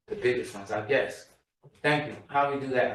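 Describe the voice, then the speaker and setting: A man talking at a fairly quick pace, with audible echo in the room. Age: 60s. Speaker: community member. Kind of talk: public testimony.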